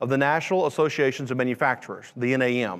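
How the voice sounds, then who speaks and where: In a Louisiana accent, a man speaks at a very fast pace on a very clean recording with a silent background. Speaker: manufacturing education director. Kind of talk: conference presentation.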